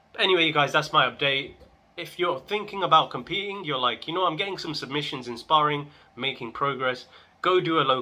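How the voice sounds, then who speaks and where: Speaking at a fairly quick pace, a man uses a fairly high pitch with ordinary variation. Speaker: vlogger, amateur martial artist. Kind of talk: casual vlog update. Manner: fast; animated.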